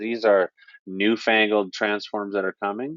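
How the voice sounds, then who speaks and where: The speaker is a man with a medium pitch. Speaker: software trainer. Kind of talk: tutorial. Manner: casual.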